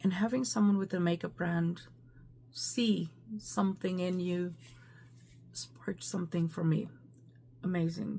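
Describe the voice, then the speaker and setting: A woman speaks at a fairly slow pace, her tone dark and mellow and somewhat breathy. She leaves long, frequent pauses. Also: fairly low pitch for a woman, ordinary pitch variation. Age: 50s. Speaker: beauty vlogger. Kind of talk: casual talk to camera.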